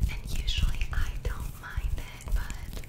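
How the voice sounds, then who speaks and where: The speaker, a woman, is whispering. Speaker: ASMR creator. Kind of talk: soft-spoken casual chat. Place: bathroom.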